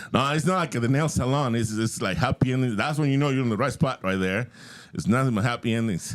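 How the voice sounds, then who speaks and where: A man with a Spanish accent at a very fast pace, medium pitch, ordinary pitch variation. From Mexico. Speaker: comedian. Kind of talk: stand-up.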